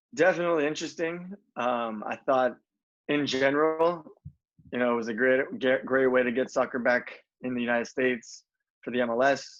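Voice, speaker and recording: The speaker moves at a fairly quick pace with ordinary pitch variation, broken by long, frequent pauses. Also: man, medium pitch for a man. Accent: American. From US West Coast, Southern California (Los Alamitos). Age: 30s. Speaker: professional soccer player. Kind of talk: interview. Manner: hesitant, many fillers and repeats.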